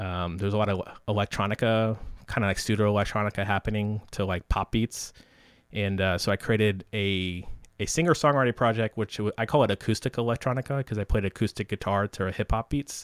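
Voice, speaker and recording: A man's fairly quick, fairly low-pitched delivery in an unremarkable speaking voice, with fairly even intonation. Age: 30s. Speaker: software developer and podcast host. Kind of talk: casual interview chat.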